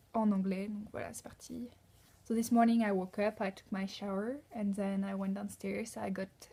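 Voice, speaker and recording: Somewhat breathy, a woman speaks with a dark, mellow tone and fairly even intonation. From France. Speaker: au pair vlogger. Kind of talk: casual vlog monologue. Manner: hesitant, many fillers.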